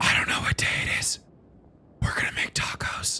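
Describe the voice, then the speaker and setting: Whispering in a put-on character voice, the speaker keeps a moderate pace. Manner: spaced-out, slow, dreamy.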